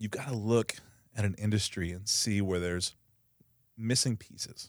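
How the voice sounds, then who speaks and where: The recording is very clean, with a silent background. Speech comes at a moderate pace. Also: man. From Texas, Coppell (Dallas area). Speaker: entrepreneur. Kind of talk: interview.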